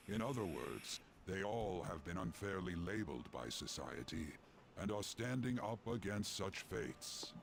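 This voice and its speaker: A man's put-on character voice, very deep and low in pitch, at a moderate pace and very even loudness, over clear background noise. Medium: video game. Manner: formal, ceremonious.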